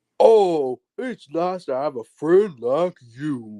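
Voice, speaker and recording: This put-on character voice sits at a middle pitch. The pace is very slow. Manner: warm, friendly.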